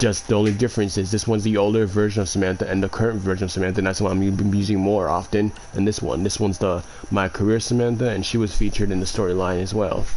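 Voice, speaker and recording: A man at a very fast pace, fairly low in pitch, with monotone, flat intonation, very even loudness and noticeable background noise. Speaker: gaming YouTuber. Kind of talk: gameplay commentary. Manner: halting.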